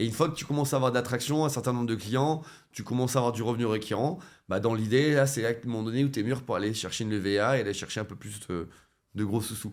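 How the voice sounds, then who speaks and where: The man talks at a very fast pace. His medium pitch shows ordinary variation. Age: 30s. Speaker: web3 entrepreneur and former nurse. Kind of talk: interview conversation. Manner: hesitant, many fillers and restarts.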